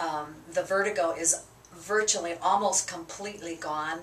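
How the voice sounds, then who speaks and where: Over noticeable background noise, a woman talks at a fairly low pitch with fairly even intonation. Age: 60s. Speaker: chiropractic patient. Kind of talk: patient testimony. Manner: halting, many fillers.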